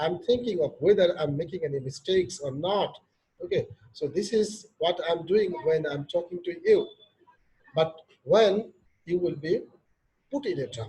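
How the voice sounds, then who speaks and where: A man's high-pitched voice with a Bangladeshi accent, dark and mellow in tone, at a moderate pace with ordinary pitch variation and long, frequent pauses. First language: Bengali. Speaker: professor. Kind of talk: lecture.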